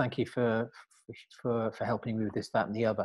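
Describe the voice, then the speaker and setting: Here a man speaks with a British accent. The background is quiet. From Britain. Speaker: career coach. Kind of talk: podcast interview. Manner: halting, with many repeated words.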